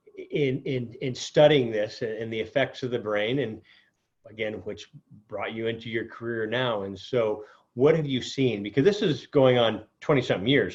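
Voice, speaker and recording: A man with an ordinary speaking voice and a medium pitch talks at a moderate pace, with ordinary pitch variation and big swings in loudness. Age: 50s. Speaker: podcast host. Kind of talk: interview.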